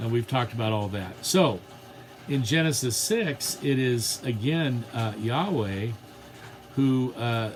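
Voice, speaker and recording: The man's medium-pitched voice rings with audible room echo, and noticeable background noise sits underneath. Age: 60s. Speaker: theology teacher. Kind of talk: lecture. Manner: halting.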